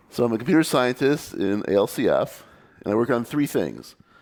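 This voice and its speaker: A man with an American accent speaks with lively intonation. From United States. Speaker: computer scientist and conference speaker. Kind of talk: conference talk. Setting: meetup stage with audience. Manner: fast.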